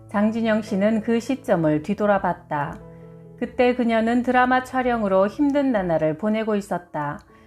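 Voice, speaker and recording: Over music in the background, a woman with fairly high pitch speaks fairly slowly with lively intonation. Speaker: audiobook reader, publisher. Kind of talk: book reading, health narration.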